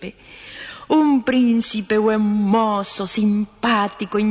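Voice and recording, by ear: A natural voice reading aloud, its intonation fairly even.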